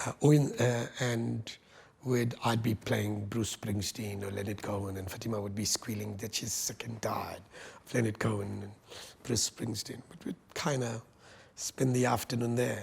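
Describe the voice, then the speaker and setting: With noticeable background noise behind him, a man talks at a moderate pace and medium pitch. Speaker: university vice chancellor. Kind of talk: interview. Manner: halting.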